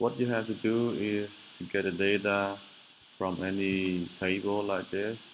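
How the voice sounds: In a fairly low voice with little pitch movement, a man speaks at a fairly slow pace.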